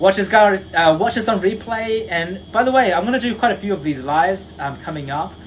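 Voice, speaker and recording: A man with a high voice talks at a fairly quick clip, his intonation lively and his speech hardly pausing, over noticeable background noise. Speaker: confidence coach. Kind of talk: live stream motivational talk. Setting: live stream. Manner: fast; animated.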